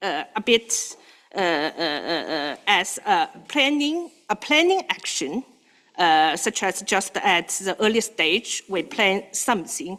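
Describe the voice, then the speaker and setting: A woman speaks with a non-native accent at a very slow pace. Her tone is bright and sharp, and her pitch swings very widely. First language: not English. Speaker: standards board member. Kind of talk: committee meeting discussion. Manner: halting, many fillers.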